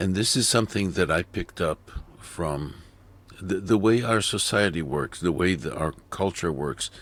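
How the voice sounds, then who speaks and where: A man talks with a very deep, low pitch and ordinary pitch variation. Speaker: video editing tutorial creator. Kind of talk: tutorial. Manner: slow; halting.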